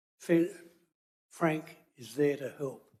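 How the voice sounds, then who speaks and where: The speaker has an Australian accent. The intonation stays fairly even. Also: man. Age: 80s+. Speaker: local resident, neighbour. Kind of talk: public submission. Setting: council meeting.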